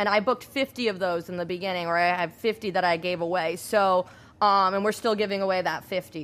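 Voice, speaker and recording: A woman with an American accent, an unremarkable speaking voice, medium pitch, fairly even intonation and a fairly quick pace. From Rhode Island, US. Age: 20s. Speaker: entrepreneur, beauty shop owner. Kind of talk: interview.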